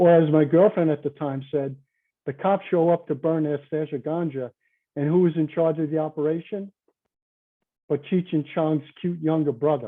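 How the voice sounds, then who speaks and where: Speaking in a New York accent, a man keeps a moderate pace, a fairly high pitch, and fairly even intonation. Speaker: conference presenter, chemical engineer. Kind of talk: conference presentation. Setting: virtual conference.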